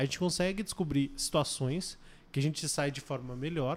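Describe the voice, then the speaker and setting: With an unremarkable speaking voice, a man talks at a fairly quick pace. His pitch sits fairly high and varies an ordinary amount. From Curitiba, southern Brazil. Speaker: esports team coach. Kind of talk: casual chat.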